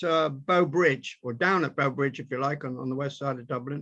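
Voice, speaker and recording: A man's bright, sharp voice moves with ordinary pitch variation. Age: 80s+. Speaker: human rights campaigner. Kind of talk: interview storytelling. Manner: halting.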